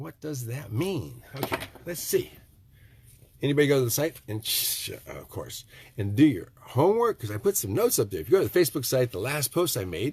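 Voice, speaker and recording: This man has an American accent and a medium pitch, with very wide pitch swings and big swings in loudness. Noticeable background noise runs under his voice. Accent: Michigan nasal when talking fast. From Michigan. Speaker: tiny house builder. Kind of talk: casual live stream talk. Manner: rambling casual.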